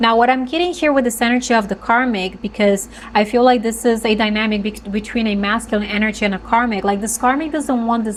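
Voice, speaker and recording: A woman's fairly high-pitched voice, fairly quick and fairly even in intonation, against noticeable background noise. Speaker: tarot reader. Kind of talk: tarot reading monologue. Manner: halting, with fillers and restarts.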